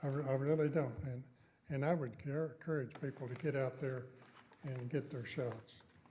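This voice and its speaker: A man's somewhat breathy, dark, mellow voice, fairly high in pitch, with fairly even intonation at a moderate pace amid audible room echo. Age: 80s+. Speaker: city council member. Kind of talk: council meeting remarks. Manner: halting, repeats words.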